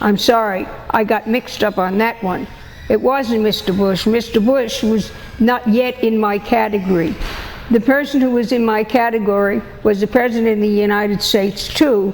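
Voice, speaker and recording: Fairly high in pitch, a woman with an American accent speaks at a moderate pace with fairly even intonation and long, frequent pauses. Noticeable background noise runs underneath. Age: 90s. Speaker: peace activist. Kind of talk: interview testimony. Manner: halting.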